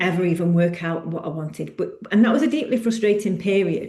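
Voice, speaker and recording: A woman speaks at medium pitch and a moderate pace in a British accent, her dark, mellow tone carrying vocal fry and ordinary pitch variation. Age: 50s. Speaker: personal trainer. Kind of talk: podcast monologue. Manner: halting.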